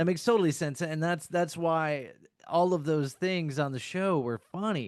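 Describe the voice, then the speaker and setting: An ordinary speaking voice with an American accent, very even loudness, a moderate pace and ordinary pitch variation. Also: man, fairly high pitch for a man. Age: 50s. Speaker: podcast co-host. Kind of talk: casual chat.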